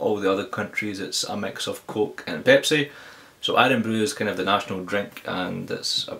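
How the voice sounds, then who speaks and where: A man with a Glaswegian accent at a fairly quick pace. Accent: Glaswegian Scottish. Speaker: tech reviewer. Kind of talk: casual talk to camera, tech Q&A.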